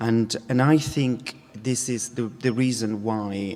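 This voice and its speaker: A man with a non-native accent talks at a very slow pace. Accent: foreign accent, non-English. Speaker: dance company artistic director. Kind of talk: keynote talk. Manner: halting, many fillers.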